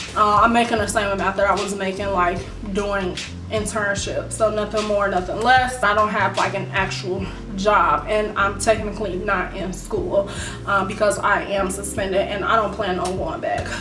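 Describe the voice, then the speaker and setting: Over clear music in the background, a woman talks at a moderate pace with ordinary pitch variation. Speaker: vlogger. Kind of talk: casual vlog chat. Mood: reflective, slightly frustrated. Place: home room. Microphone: camera far.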